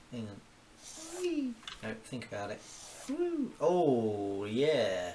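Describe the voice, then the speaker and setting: A man talks in a room with audible echo. Noticeable background noise is present too. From southeast England, Kent (Orpington). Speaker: cartoonist. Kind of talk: live-stream drawing commentary. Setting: at home, cooking while streaming. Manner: casual, thinking aloud with exclamations.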